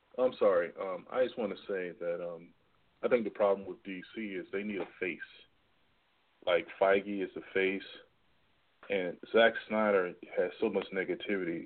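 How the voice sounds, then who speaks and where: A man speaks with long, frequent pauses. His loudness swings widely. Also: moderate pace. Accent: American. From Washington DC. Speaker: caller. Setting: phone call.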